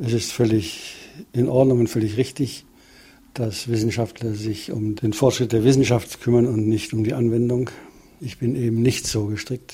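The voice is somewhat breathy, with monotone, flat intonation and a moderate pace. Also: man, medium pitch for a man. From Upper Bavaria, Germany. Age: 70s. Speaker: retired plant biotechnologist. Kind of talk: interview. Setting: home living room.

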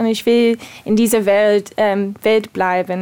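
A fairly high-pitched woman with an English accent, speaking at a fairly slow pace. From USA. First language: English (speaking German). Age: 30s. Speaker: ballet dancer. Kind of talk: interview. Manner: halting.

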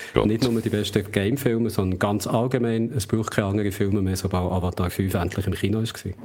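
A man speaks very fast in a Swiss accent, with hardly any pauses and fairly even intonation. His pitch is fairly low, and noticeable background noise runs under the recording. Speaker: podcast co-host, culture journalist. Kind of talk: casual chat.

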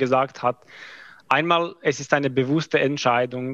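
A bright, sharp voice talks with a non-native accent at a fairly slow pace. Pitch variation is ordinary, and the background is quiet. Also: man. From Croatia. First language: not German (speaking German). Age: 20s. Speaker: army officer, mathematics graduate. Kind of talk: interview. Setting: video call. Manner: halting.

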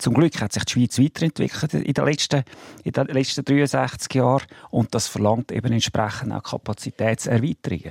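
A man speaks at a moderate pace and a medium pitch, with vocal fry and ordinary pitch variation. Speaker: car industry association president. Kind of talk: radio debate. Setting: studio.

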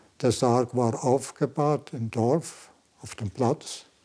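A man's dark, mellow tone comes through as he talks very slowly. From Switzerland, Valais. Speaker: Jesuit priest and Zen master. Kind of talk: interview. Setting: meditation room.

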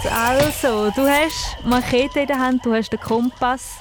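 A woman with a Thurgau accent speaks very slowly at a high pitch. Noticeable background noise is present. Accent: Thurgau Swiss German dialect. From Switzerland, canton Thurgau. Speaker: children's radio host. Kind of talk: children's radio quiz show. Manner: animated.

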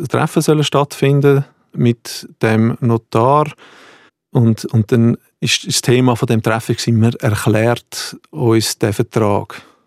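A man speaks at a very slow pace with long, frequent pauses, fairly even intonation and very even loudness, in a dry, close sound with no echo on a very clean recording with a silent background. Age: 40s. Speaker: heir in an inheritance dispute. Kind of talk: interview testimony. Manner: halting, repeats words.

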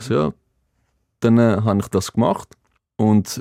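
This man has a Greek accent. His pitch sits fairly low. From Greece, Athens; moved to Basel at 12. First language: Greek (speaking German). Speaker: former water polo player, motivational speaker. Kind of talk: casual interview. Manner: halting after brain hemorrhage speech relearning.

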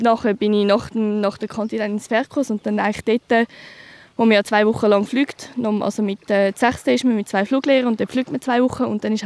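A woman talks at a fairly quick pace in an unremarkable speaking voice, fairly high in pitch with fairly even intonation, recorded dry and close with no echo. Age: 20s. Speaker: soldier. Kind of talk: field interview.

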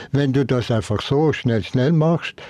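With a dry, close sound and no echo, a man speaks at medium pitch in a dark, mellow tone with ordinary pitch variation. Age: 80s+. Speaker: Jesuit priest and Zen master. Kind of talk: casual chat.

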